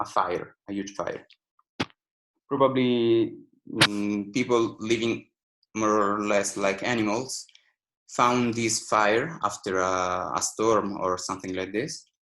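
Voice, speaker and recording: A man with an Italian accent talks very slowly, leaving long, frequent pauses. His fairly low voice has a bright, sharp tone and ordinary pitch variation. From Italy, Rome. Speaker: architecture lecturer. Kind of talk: online lecture. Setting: video call. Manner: halting, many fillers.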